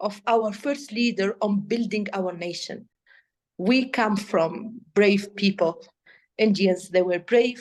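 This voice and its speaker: In an Arabic accent, a woman speaks very slowly in a fairly high voice with ordinary pitch variation. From Tunisia. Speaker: AI policy expert. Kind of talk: interview. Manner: halting; animated.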